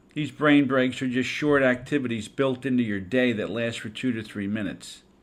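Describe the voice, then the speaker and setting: Speaking at a moderate pace, a man uses an ordinary speaking voice. His pitch is medium, with ordinary pitch variation. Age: 60s. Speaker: education consultant and podcast host. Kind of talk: podcast talk on teaching. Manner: conversational, with some stumbles.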